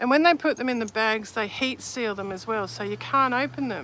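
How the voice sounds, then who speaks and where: The speaker has an Australian accent and talks at a moderate pace. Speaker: vintage textile collector and seller. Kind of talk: casual show and tell video. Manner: casual, halting with false starts.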